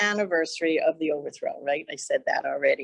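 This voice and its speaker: A woman speaks with a Hawaiian accent. The sound is dry and close, with no echo. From Hawaii, Kona. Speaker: county council chair. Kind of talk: public talk to an audience.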